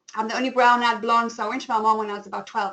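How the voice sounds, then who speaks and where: A woman speaks with a South African accent. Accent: flat South African. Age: 40s. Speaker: style coach and webinar host. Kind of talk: webinar presentation. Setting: online webinar.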